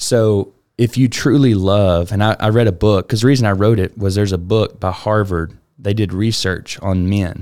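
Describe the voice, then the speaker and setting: On a very clean recording with a silent background, a man with a Southern US accent speaks at a moderate pace with fairly low pitch, fairly even intonation and very even loudness. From Alabama. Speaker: nonprofit foundation director. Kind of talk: casual interview.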